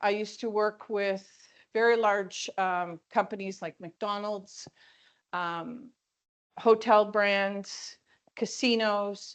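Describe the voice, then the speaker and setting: A woman with a Canadian accent speaks very slowly at a medium pitch, her intonation flat and monotone. She leaves long, frequent pauses against a quiet background. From Ontario, Canada. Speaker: keynote speaker, perfumer. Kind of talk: keynote presentation. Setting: conference stage with audience.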